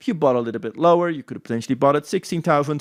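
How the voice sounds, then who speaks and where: With a Dutch accent, a man talks in an animated tone with lively intonation, captured in a very clean recording with a silent background. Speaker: crypto trading analyst. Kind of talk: chart analysis tutorial. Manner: casual, animated.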